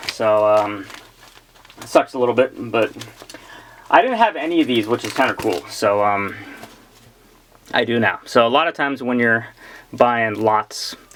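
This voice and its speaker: The speaker moves at a moderate pace with long, frequent pauses. Noticeable background noise can be heard. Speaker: comic book collector YouTuber. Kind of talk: casual unboxing chat. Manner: chatty, hesitant with fillers.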